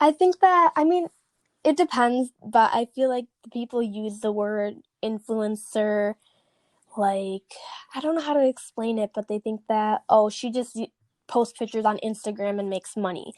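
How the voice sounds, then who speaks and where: A woman with an American accent speaks at a moderate pace in a fairly high pitch, in a plain, everyday voice, with a dry, close sound and no echo. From Chicago. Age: 20s. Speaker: fitness coach. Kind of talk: interview. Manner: casual, filler-heavy.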